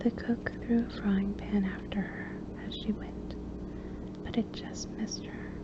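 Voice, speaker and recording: Through noticeable background noise, a woman whispers. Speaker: ASMR reader. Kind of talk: soft-spoken audiobook reading for relaxation. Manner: soft-spoken, quiet.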